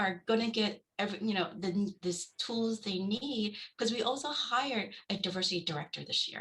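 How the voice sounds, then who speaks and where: Speaking with a Vietnamese accent, a woman shows ordinary pitch variation. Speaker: school board trustee candidate. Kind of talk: candidate forum answer. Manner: halting.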